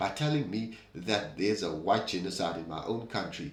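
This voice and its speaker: With a South African accent, a man speaks at a moderate pace amid audible room echo. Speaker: political commentary host. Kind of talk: opinion commentary monologue.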